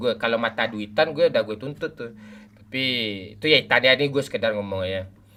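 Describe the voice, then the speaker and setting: A man's speech rushes along very fast at a medium pitch, its pitch varying in an ordinary way. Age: 40s. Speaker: game live streamer. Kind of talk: casual live stream chat while gaming. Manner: animated.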